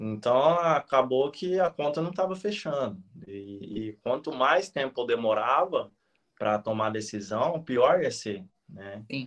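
A man with a medium pitch talks at a fairly slow pace, his intonation lively. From interior of São Paulo state, Brazil (Penápolis). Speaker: retired elite marathon runner, running coach. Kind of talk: live-stream interview. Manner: talkative, long chained sentences; hesitant repetitions.

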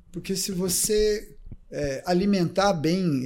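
A man speaks with a dark, mellow tone at a high pitch. His intonation is lively. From Brazil, São Paulo state (Ribeirão Preto). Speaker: triathlon coach. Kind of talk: casual chat.

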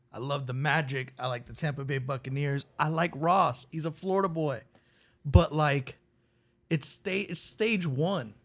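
In a very clean recording with a silent background, a somewhat breathy man speaks at a fairly slow pace and fairly high pitch, with ordinary pitch variation and big swings in loudness. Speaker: guest, first-time on podcast. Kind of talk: casual chat.

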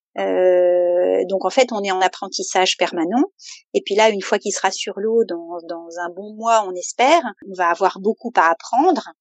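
At a fairly slow pace, a woman talks in a medium pitch with ordinary pitch variation and big swings in loudness. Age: 50s. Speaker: mother preparing family sailing voyage. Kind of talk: interview testimony. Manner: hesitant.

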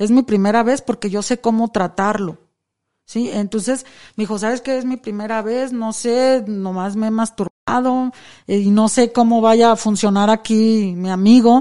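A woman's fairly high, dark, mellow voice at a moderate pace with fairly even intonation, against a quiet background. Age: 40s. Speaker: escort. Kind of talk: interview. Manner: casual and frank.

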